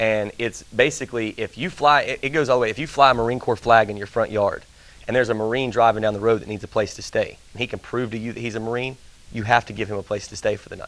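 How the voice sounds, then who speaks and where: Talking at a very fast pace with a Southern US accent, a man of medium pitch keeps his intonation fairly even while his loudness swings widely. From Tennessee, Nashville. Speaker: country singer and Marine veteran. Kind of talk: interview chat. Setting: TV studio, live.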